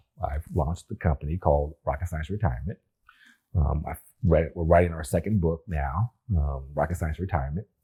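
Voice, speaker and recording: In a dry, close sound with no echo, a man with a very deep, low pitch and vocal fry talks at a fairly quick pace with ordinary pitch variation. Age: 70s. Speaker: retired rocket scientist and business leader. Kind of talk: interview conversation.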